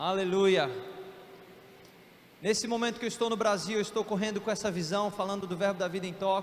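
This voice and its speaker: A man's high-pitched voice at a fairly quick pace, broken by long, frequent pauses, with noticeable background noise and audible room echo. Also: fairly even intonation. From Brasília, Brazil. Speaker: missionary preacher. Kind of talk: sermon. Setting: church. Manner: fast.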